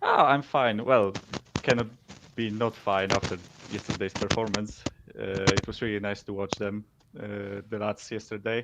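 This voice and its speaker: A man with fairly low pitch and monotone, flat intonation at a moderate pace, with long, frequent pauses over noticeable background noise. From Poland. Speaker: caller. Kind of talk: casual chat. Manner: halting.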